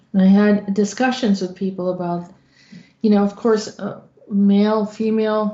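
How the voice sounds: With audible room echo, a woman speaks in a dark, mellow tone with little pitch movement. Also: medium pitch for a woman, moderate pace.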